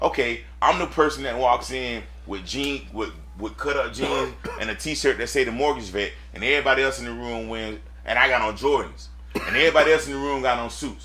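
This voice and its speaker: The man talks at a fairly quick pace. Audible room echo surrounds his voice. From US South, Lakeland, Florida. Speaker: mortgage businessman. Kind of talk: casual chat. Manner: animated.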